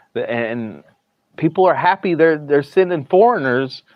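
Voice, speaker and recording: Speaking at a fairly slow pace with a strong Southern US accent, a man lets his pitch swing very widely. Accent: Southern US, thick. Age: 30s. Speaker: live streamer. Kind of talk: casual live stream chat. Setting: hospital, streaming from phone. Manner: halting, repeats words.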